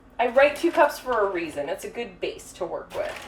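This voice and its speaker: A woman with a high-pitched voice talks against noticeable background noise. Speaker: baker hosting a cooking stream. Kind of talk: live cooking tutorial. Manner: fast; casual with many fillers.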